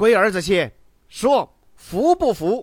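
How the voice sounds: A man speaks loudly and slowly in a put-on character voice. His pitch sits high and swings widely.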